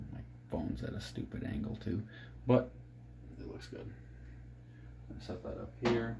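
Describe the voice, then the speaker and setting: This soft-spoken voice moves at a moderate pace with long, frequent pauses. Room echo is audible, and background noise is noticeable. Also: man. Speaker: fishing jig maker. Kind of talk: tutorial. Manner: low-energy, subdued.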